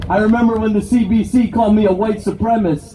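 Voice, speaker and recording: Crowd noise fills the background and room echo is audible as a man speaks with a Canadian accent. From Canada (immigrated from Brazil as small child). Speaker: political activist. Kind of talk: rally speech. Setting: outdoor rally with crowd.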